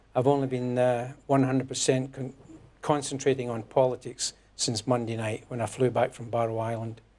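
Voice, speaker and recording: A dark, mellow tone at a moderate pace with monotone, flat intonation. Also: man, medium pitch for a man. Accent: Scottish. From Scotland, near Glasgow. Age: 60s. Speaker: newly elected politician, former electrician. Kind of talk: interview. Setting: studio.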